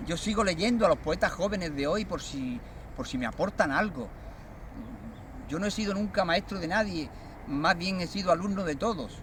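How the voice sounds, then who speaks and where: Speaking at a moderate pace, a man leaves long, frequent pauses. His pitch is high, with ordinary variation. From Andalusia, Cádiz province (Barbate). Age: 60s. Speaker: poet. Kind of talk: interview testimony. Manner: hesitant, many fillers.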